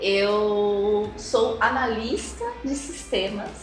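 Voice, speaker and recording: Heard with audible room echo and noticeable background noise, a woman speaks at a medium pitch. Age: 30s. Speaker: customer success lead. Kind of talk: casual interview chat.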